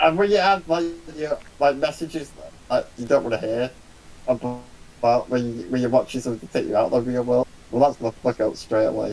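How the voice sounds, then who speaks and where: With a strong Manchester accent, a man talks fairly quickly at a medium pitch, his intonation lively. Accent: strong Salford. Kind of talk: casual chat.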